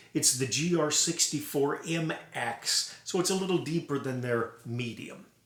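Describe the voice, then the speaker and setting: Here a man speaks at a fairly slow pace. His pitch sits fairly high, with ordinary variation. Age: 60s. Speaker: trumpet collector and player. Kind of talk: casual instrument demo. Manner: hesitant with fillers.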